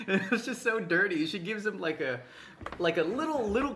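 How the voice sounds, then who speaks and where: A man with an American accent speaks at a fairly quick pace, with a high pitch and very wide pitch swings. Noticeable background noise is present. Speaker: podcast co-host. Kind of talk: casual chat.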